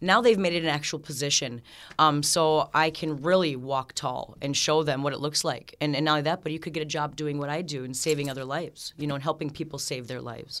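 Speaking very fast with hardly any pauses, a woman with an American accent has a very deep, low pitch and fairly even intonation. The recording is very clean, with a silent background. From Minnesota. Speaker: peer support specialist. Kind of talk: radio interview.

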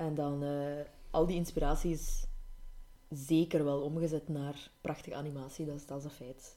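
A woman's very deep, low voice, dark and mellow in tone, at a moderate pace with monotone, flat intonation, big swings in loudness and a Flemish accent. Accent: Flemish Dutch. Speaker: podcast co-host. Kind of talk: casual chat.

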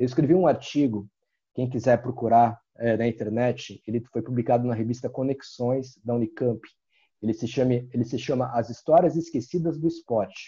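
Somewhat breathy and dark, mellow in tone, a man speaks at medium pitch with ordinary pitch variation. His pace is moderate and the background is quiet. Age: 40s. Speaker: university professor and skateboarder. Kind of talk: casual interview.

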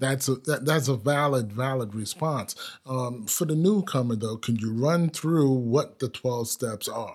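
Using an unremarkable speaking voice, a man talks at a fairly slow pace with medium pitch and ordinary pitch variation. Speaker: podcast host. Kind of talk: casual interview. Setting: studio.

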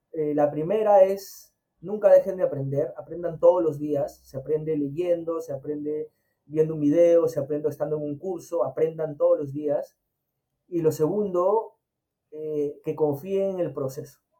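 Fairly high in pitch yet dark and mellow in tone, a man talks at a fairly slow pace with fairly even intonation. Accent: Peruvian. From Peru, Chincha (Ica). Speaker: agile consultant and former army officer. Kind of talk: interview. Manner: halting, frequent repetitions and fillers.

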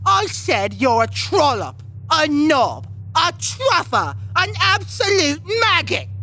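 A put-on character voice moves at a fairly slow pace through clear background noise. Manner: petty, spiteful, bickering.

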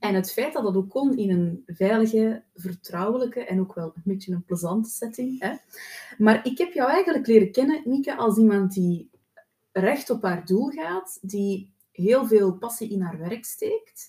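At a fairly slow pace, a plain, everyday voice carries lively intonation. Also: woman, fairly high pitch for a woman. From Flanders, Belgium. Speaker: podcast host, therapist. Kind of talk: interview.

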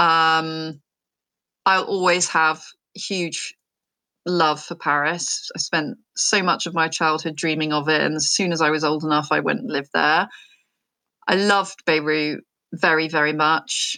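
Speaking at a fairly slow pace with long, frequent pauses, a woman with an English accent has a very deep, low pitch and a bright, sharp tone, captured on a very clean recording with a silent background. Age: 40s. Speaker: neurodiversity entrepreneur. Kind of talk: interview.

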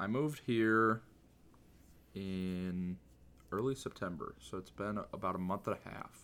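In an ordinary speaking voice, a man with an American accent talks at a fairly slow pace, his fairly low pitch showing ordinary variation, on a very clean recording with a silent background. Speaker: speedrunner and content creator. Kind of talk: casual chat.

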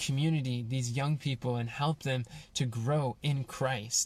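Somewhat breathy, a man talks at a moderate pace with fairly even intonation. The recording is very clean, with a silent background. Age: 20s. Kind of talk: personal reflection monologue. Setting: in a van.

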